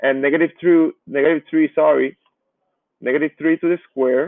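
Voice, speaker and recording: A man speaks with a Spanish accent at a moderate pace. His pitch is fairly high. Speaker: math teacher. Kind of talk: lecture. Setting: live online class.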